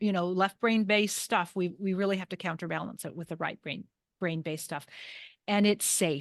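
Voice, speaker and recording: Fairly even intonation at a moderate pace over a quiet background. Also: woman, medium pitch for a woman. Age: 60s. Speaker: holistic health coach. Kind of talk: interview. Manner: halting.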